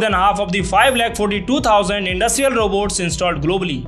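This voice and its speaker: Faint music plays in the background. The speech moves at a moderate pace with ordinary pitch variation. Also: man. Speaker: tech news creator. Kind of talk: tech news commentary. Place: home room. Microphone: studio mic.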